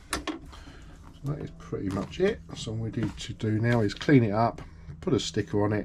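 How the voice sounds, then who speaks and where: At a moderate pace, a man talks with a dark, mellow tone, a fairly low pitch, a somewhat breathy quality and ordinary pitch variation. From UK. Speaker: sewing machine repairer. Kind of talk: tutorial. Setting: workshop. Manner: casual.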